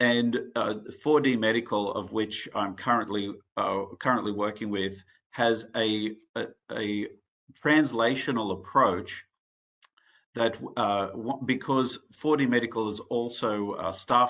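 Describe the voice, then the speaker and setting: Bright and sharp in tone, a man with an Australian accent speaks at a medium pitch and a fairly slow pace with fairly even intonation. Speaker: medical device executive and researcher. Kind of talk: conference presentation. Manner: halting, many fillers.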